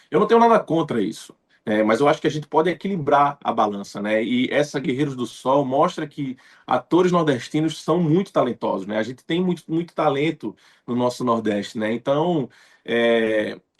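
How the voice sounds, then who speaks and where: The speaker has a Pernambuco accent and lively intonation at a moderate pace. The background is quiet. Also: man, fairly high pitch for a man. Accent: Pernambuco northeastern Brazilian. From Recife, Pernambuco, Brazil. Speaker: actor. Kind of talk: interview. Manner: frequent fillers, conversational.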